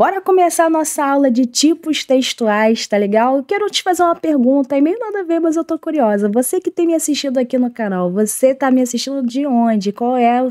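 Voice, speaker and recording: Over noticeable background noise, yet dry and close with no echo, a high-pitched woman with a strong Rio de Janeiro accent talks at a fairly quick pace with very wide pitch swings and hardly any pauses. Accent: strong carioca accent with hissing s. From Rio de Janeiro, Brazil. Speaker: teacher. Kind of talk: online lesson. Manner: informal, conversational.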